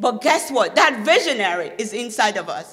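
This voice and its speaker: With a Nigerian accent, a woman uses a raised, projected voice with very wide pitch swings, and audible room echo is present. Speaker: motivational speaker. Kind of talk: speech. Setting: stage with audience. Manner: animated.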